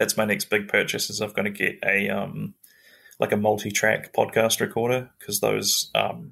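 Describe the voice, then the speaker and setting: At a moderate pace, a speaker with a New Zealand accent comes through on a very clean recording with a silent background. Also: man. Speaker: comedian and podcast host. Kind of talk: casual chat.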